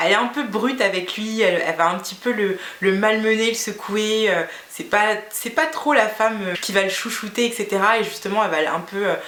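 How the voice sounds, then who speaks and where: A woman's fairly high voice at a fairly quick pace, with audible room echo and noticeable background noise. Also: ordinary pitch variation. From Guinea. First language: Fula (speaking French). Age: 30s. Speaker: beauty vlogger. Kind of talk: casual vlog monologue. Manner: hesitant, many fillers.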